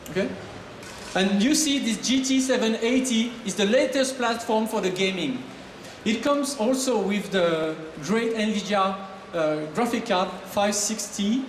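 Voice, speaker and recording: With a French accent, a man speaks fairly slowly in a high voice at very even loudness, with audible room echo and noticeable background noise. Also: ordinary pitch variation. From France. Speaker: marketing manager. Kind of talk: product presentation. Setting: stage with audience. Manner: animated.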